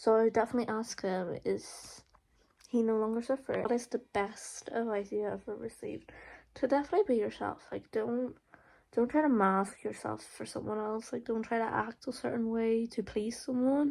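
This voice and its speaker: With an Irish accent, a woman speaks at a moderate pace. Her pitch is fairly high and her intonation fairly even. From Ireland, County Monaghan. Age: 20s. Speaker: college student vlogger. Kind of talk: casual Q&A vlog. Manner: hesitant, lots of fillers.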